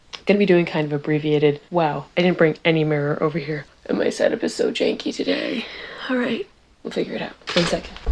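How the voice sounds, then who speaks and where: Quiet and fairly low in pitch, a woman speaks at a very fast pace with lively intonation over noticeable background noise. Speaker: beauty vlogger and animal hospital worker. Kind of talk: casual makeup tutorial chat.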